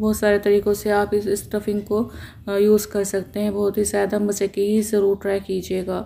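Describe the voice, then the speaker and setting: At a fairly slow pace, a woman speaks in a medium pitch with a dark, mellow tone and monotone, flat intonation. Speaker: home cooking channel host. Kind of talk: cooking tutorial.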